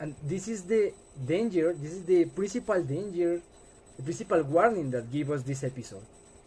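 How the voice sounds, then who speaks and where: This man speaks with a Colombian accent at a high pitch. His intonation is lively. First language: Spanish. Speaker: student. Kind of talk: class presentation. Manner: halting.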